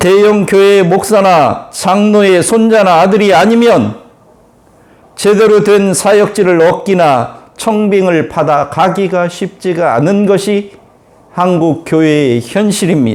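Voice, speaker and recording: A man with a high voice speaks at a very slow pace, his loudness very even and his pitch varying in an ordinary way. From Korea, Chungcheong-Jeolla border. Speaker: pastor. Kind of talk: sermon.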